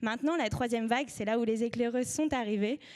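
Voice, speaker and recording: A woman with a high pitch and fairly even intonation talks at a fairly quick pace. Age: 20s. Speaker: media co-founder. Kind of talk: conference talk. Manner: hesitant, many fillers.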